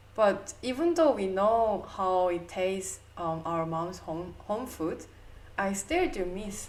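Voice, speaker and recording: The speech moves at a very slow pace with ordinary pitch variation. Room echo is audible. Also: woman, medium pitch for a woman. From South Korea. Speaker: podcast co-host. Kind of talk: casual chat.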